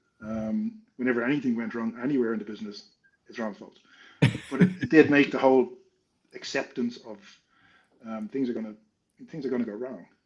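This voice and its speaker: With an Irish accent, a man of medium pitch talks at a fairly quick pace, using ordinary pitch variation and long, frequent pauses. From Ireland. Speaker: consultant and entrepreneur. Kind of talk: interview.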